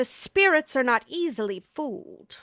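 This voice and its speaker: A woman's put-on character voice, pitched high, at a moderate pace. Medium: actual play. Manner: ominous, prophetic.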